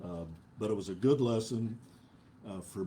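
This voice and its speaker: A man talks at a moderate pace in a dark, mellow, somewhat breathy voice with ordinary pitch variation. Room echo is audible. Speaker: preacher. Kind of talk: sermon. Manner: halting, many filler uhs.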